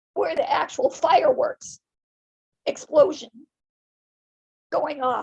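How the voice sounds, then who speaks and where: A woman is speaking. Her pace is moderate. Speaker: network marketing member. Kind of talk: testimonial speech on livestream. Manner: animated.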